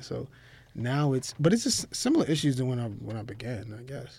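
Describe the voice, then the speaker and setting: On a very clean recording with a silent background, a man speaks fairly quickly in a medium, somewhat breathy voice. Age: 30s. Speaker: lawyer who founded his own law firm. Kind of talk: casual interview.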